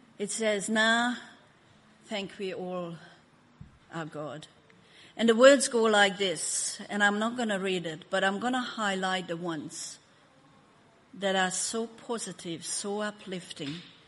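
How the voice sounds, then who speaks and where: A woman with a Hungarian accent at a medium pitch, fairly slow pace with long, frequent pauses, ordinary pitch variation, audible room echo and noticeable background noise. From Hungary. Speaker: pastor. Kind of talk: sermon. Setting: church.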